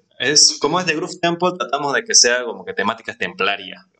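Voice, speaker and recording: The man's tone is bright and sharp, and his delivery keeps a moderate speed. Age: 20s. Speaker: DJ and music producer. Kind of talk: casual interview.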